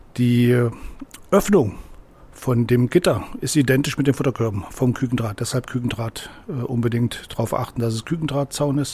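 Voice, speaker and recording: Medium pitch from a man, moderate pace, ordinary pitch variation. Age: 60s. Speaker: angling club president. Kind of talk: tutorial. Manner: halting, many fillers.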